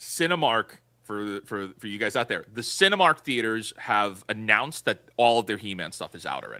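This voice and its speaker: A man with a New York accent speaks in a bright, sharp tone with lively intonation, big swings in loudness and hardly any pauses, in a very clean, dry, close recording with a silent background and no echo. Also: medium pitch for a man, moderate pace. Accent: sounds like from Brooklyn. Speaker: podcast co-host. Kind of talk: casual chat.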